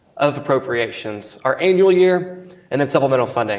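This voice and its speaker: A man speaks at a fairly high pitch for a man. Audible room echo surrounds his voice. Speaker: government procurement official. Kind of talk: conference presentation. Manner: fast.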